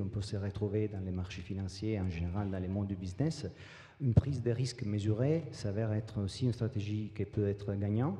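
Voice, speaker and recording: Against noticeable background noise, a man with a slight non-native accent talks at a fairly low pitch. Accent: slight foreign. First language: not French (speaking French). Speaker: business executive. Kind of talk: panel discussion. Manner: hesitant.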